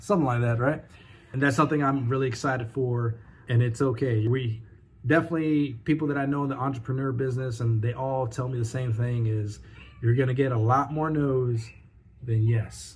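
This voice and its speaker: Somewhat breathy, the speech moves along fairly quickly with fairly even intonation. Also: man, medium pitch for a man. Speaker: vlogger, new entrepreneur. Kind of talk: casual vlog monologue. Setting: home desk setup. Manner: fast.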